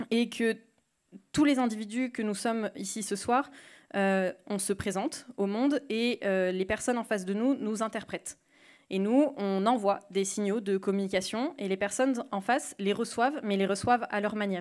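A woman's plain, everyday voice, fairly high-pitched, at a moderate pace with ordinary pitch variation against a quiet background. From rural France. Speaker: podcast creator; speaker. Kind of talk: panel talk. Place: hall. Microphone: handheld.

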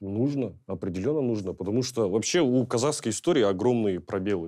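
A man's fairly low, dark and mellow voice at a moderate pace, against a quiet background. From Kazakhstan. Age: 20s. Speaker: blogger and YouTuber; blogger, YouTuber. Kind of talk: panel discussion. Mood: relaxed, thoughtful. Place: studio. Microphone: lapel.

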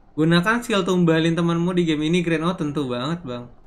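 High-pitched male voice at a fairly quick pace. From Indonesia. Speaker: gaming streamer. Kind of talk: live gameplay commentary. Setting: live stream. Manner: fast; animated. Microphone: headset.

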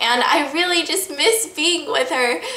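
A woman speaks at a moderate pace. Audible room echo surrounds her voice. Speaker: vlogger. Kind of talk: casual vlog chat. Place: home room. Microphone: camera far.

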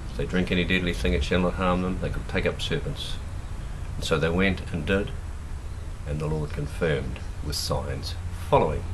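A man speaks with a very deep, low pitch and ordinary pitch variation. Long, frequent pauses break up his speech over noticeable background noise. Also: moderate pace. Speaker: preacher. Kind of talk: fiery sermon, preacher in full flow, rallying the church with rhetorical questions. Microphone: phone near.

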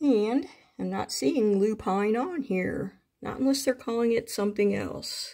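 Over a quiet background, a woman speaks at a fairly slow pace in a dark, mellow tone. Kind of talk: casual vlog chat. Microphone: phone near.

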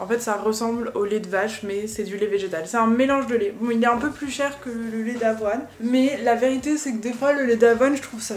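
Moderate pace, with light background noise and audible room echo. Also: woman. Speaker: lifestyle vlogger. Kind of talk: casual vlog chat. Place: kitchen. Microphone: phone near.

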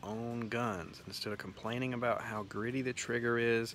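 Faint music plays behind a man's voice, and the sound is dry with no echo. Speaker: farm channel host. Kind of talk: casual vlog chat. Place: garden. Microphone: phone near.

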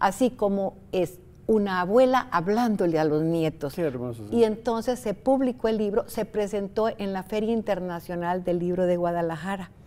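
A woman with a dark, mellow tone speaks at a moderate pace with lively intonation and hardly any pauses. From Costa Rica. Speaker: writer; interviewee. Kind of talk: interview. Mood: warm, animated storytelling. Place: studio. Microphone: lapel.

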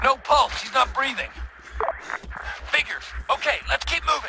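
A put-on character voice with vocal fry and a bright, sharp tone. Pitch varies in an ordinary way at a moderate pace. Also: man, extremely high pitch for a man.

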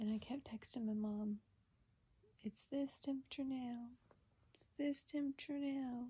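A woman with an American accent and a high pitch, dark, mellow tone, fairly even intonation, big swings in loudness, moderate pace and long, frequent pauses. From US South. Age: 20s. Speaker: vlogger with a rare disease. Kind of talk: personal video update. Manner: casual, filler-heavy. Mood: recounting worrying illness. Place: home room. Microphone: phone near.

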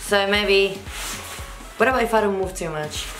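Behind the woman's voice there is clear music in the background. She speaks at a moderate pace. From Spain. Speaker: magician. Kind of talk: casual ASMR talk to camera. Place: home room.

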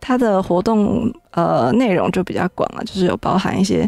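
A woman speaks at a moderate pace in a dark, mellow tone with ordinary pitch variation, the sound dry with no echo over a quiet background. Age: young. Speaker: city tourism official; radio guest. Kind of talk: interview. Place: studio.

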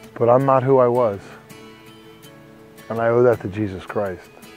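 Music in the background behind a man's medium-pitched voice, fairly even in intonation, at a moderate pace. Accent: American. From New Jersey. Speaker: recovering addict and former prisoner. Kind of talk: personal testimony.

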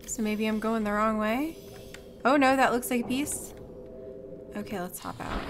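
A woman with long, frequent pauses and noticeable background noise. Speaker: gaming streamer. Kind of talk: live gameplay commentary. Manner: casual, chatty.

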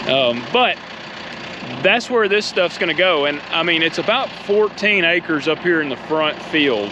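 A man at a fairly slow pace with lively intonation, dry sound with no echo, and noticeable background noise. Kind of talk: casual vlog chat. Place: open country. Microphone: phone near.

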